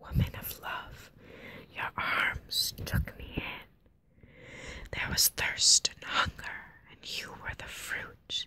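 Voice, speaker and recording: A woman whispers at a very slow pace. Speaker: ASMR creator. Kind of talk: ASMR poetry reading. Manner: whispered, close-up.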